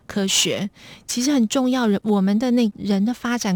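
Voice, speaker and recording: A soft-spoken, somewhat breathy woman at a fairly high pitch and moderate pace, with ordinary pitch variation, in a dry, close sound with no echo on a very clean recording with a silent background. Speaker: foundation executive director. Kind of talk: radio interview.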